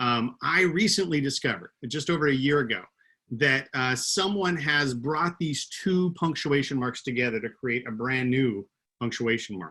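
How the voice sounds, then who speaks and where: Speaking at a moderate pace with an American accent, a man uses a bright, sharp tone, medium pitch and lively intonation. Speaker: keynote speaker, former teacher. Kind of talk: keynote talk. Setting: video call.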